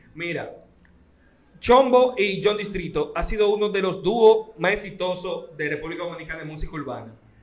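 Noticeable background noise and audible room echo around a man's high voice with ordinary pitch variation. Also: moderate pace. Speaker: radio host. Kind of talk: interview.

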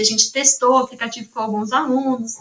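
Here a woman speaks at a very fast pace. Her voice sits high. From São Carlos, Brazil. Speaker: psychology graduate, study-support volunteer. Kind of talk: casual interview chat.

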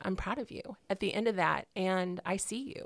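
A woman talks in a normal speaking voice at medium pitch and a moderate pace. The recording is very clean, with a silent background. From Illinois, small country town. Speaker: single mother, home healthcare worker. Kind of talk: casual interview.

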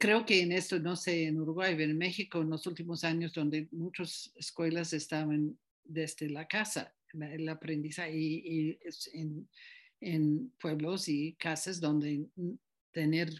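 Over a quiet background, a woman speaks with a very deep, low pitch. Her intonation is fairly even. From United States. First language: English (speaking Spanish). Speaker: group facilitation teacher. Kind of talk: interview. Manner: halting.

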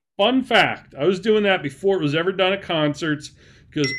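This man talks at a moderate pace with ordinary pitch variation. Noticeable background noise runs behind him. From Maine. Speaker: podcast co-host. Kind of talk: casual chat. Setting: studio. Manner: animated.

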